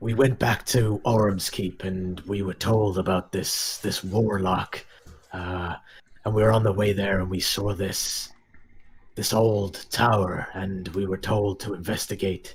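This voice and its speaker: A man puts on a raspy character voice, pitched fairly low and spoken at a fairly slow pace. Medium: actual play. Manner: matter-of-fact.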